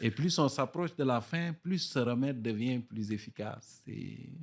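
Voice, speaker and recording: A man's medium-pitched voice at a very slow pace, with ordinary pitch variation, in a very clean recording with a silent background. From Gaspésie, Quebec.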